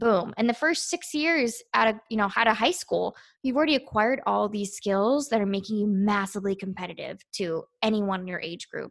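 With an American accent and a normal speaking voice, a woman talks at a fairly quick pace with hardly any pauses, her fairly high pitch carrying lively intonation over a quiet background. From Virginia, US. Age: 20s. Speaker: naval officer and beauty pageant contestant. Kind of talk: interview.

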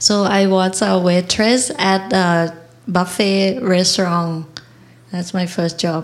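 With a Thai accent, a woman speaks at a very slow pace. Her medium-pitched voice keeps fairly even intonation. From Thailand. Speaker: restaurant owner. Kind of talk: onstage interview. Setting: stage with live audience. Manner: halting.

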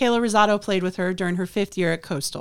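The recording is very clean, with a silent background. A woman speaks at a medium pitch and a fairly quick pace. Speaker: college softball head coach. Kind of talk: casual interview. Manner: animated.

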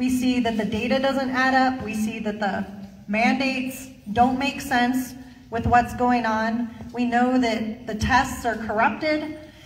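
Against noticeable background noise, a woman speaks in a high pitch at a fairly slow pace, her intonation monotone and flat. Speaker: event host. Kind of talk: casual chat.

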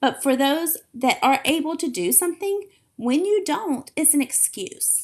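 In an animated tone, a woman speaks at a high pitch with very wide pitch swings. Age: 40s. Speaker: fitness coach podcast host. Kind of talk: solo podcast talk.

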